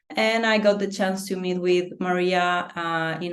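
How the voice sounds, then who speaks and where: A woman at medium pitch, with audible room echo. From Chile. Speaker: human design reader, reading client. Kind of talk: interview.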